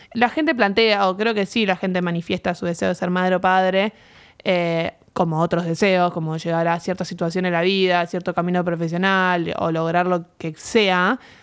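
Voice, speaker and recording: This very clean recording with a silent background features a woman with an unremarkable speaking voice. She keeps a fairly low pitch, a moderate pace and fairly even intonation. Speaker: podcast co-host, psychologist. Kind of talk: casual chat.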